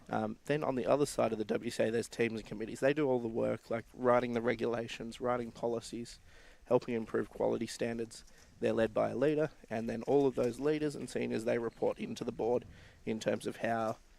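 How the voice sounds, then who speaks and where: At a fairly quick pace, a man talks with an Australian accent. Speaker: board member of a volunteer sports organisation. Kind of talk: live stream interview. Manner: halting, with many fillers and repeats.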